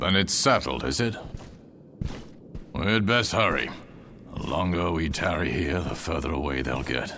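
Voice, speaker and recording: Over clear background noise, a man uses a raspy, very deep, low put-on character voice in a relaxed tone, with lively intonation, a moderate pace and long, frequent pauses. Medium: video game. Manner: relaxed, wry.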